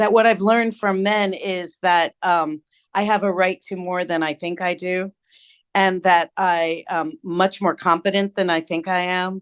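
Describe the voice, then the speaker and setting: A woman with a normal speaking voice talks at a fairly slow pace with medium pitch and fairly even intonation. The sound is dry and close with no echo, over a quiet background. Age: 60s. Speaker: storytelling expert. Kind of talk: interview.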